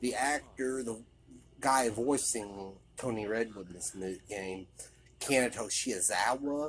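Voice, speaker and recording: Mumbling at a very slow pace with long, frequent pauses, a man speaks in a medium pitch with ordinary pitch variation. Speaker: video game commentator. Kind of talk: game commentary. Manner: hesitant, mumbling.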